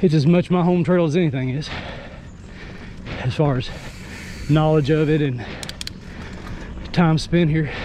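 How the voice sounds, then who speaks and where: Noticeable background noise and audible room echo surround a man with an American accent and a fairly high voice. He talks at a moderate pace with fairly even intonation and long, frequent pauses. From US South. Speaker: mountain biking vlogger. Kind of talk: casual vlog narration while riding. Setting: outdoors on a trail. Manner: relaxed conversational.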